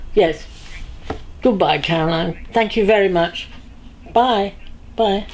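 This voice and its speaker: Against noticeable background noise, a woman talks at a very slow pace with long, frequent pauses. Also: medium pitch for a woman, ordinary pitch variation. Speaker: actress. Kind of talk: documentary interview.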